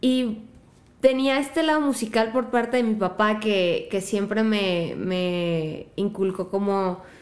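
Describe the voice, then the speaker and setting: A woman speaks with lively intonation. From Mexico, La Piedad, Michoacán. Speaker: singer-songwriter. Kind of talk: casual chat.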